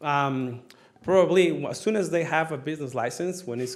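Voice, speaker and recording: A man speaks at a moderate pace with a non-native accent and lively intonation. Audible echo from the room surrounds his voice. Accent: foreign. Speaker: city staff member reporting on business licensing. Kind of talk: council work session report. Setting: city council meeting. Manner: hesitant, many fillers.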